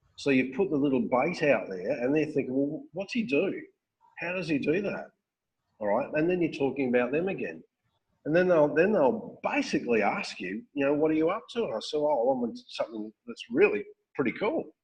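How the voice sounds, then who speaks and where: In an Australian accent, a man talks at a fairly quick pace in a fairly high pitch with very wide pitch swings. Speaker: network marketing recruiter and trainer; trainer. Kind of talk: training talk on a call. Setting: phone call. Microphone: webcam.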